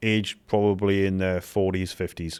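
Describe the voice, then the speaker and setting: Over a very clean recording with a silent background, a man speaks in a very deep, low pitch with a British accent. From UK. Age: 50s. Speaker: former special forces soldier. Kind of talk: casual chat.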